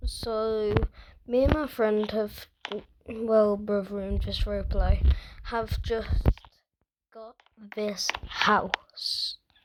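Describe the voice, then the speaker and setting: Leaving long, frequent pauses, a man talks at a very slow pace. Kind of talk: casual gameplay commentary.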